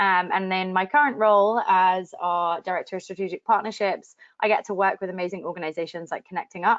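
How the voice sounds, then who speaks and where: A woman at a very fast pace, medium in pitch, with fairly even intonation. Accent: London. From London, England. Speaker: digital strategy director. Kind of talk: webinar presentation.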